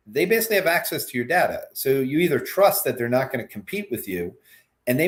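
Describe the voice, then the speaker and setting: Very wide pitch swings mark a man's somewhat breathy voice. He talks at a very fast pace. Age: 50s. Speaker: macro strategist. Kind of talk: interview. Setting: live stream. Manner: halting.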